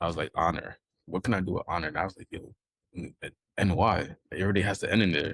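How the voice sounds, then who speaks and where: Using a very fast pace broken by long, frequent pauses, a man with a very deep, low pitch speaks in a New York accent, the sound dry and close with no echo. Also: fairly even intonation. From New York, Brooklyn. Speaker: sneaker designer, podcast guest. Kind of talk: casual chat.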